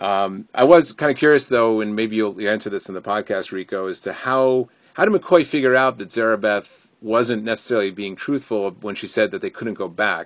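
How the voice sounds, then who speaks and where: A man with a fairly low pitch speaks in an American accent at a moderate pace. His pitch varies in an ordinary way, and the sound is dry and close with no echo. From Connecticut, US. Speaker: listener sending audio review. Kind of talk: recorded listener review. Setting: sitting in a closet.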